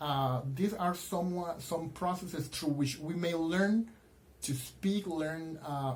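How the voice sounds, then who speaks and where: The speaker talks at a fairly slow pace in a Spanish accent. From Colombia. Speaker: university student. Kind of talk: class presentation. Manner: halting, many fillers.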